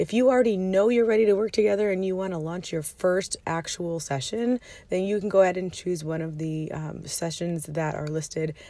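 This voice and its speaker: A woman speaks quietly at a medium pitch. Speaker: money habits coach and podcast host. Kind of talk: casual solo podcast talk. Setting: parked minivan, child sleeping.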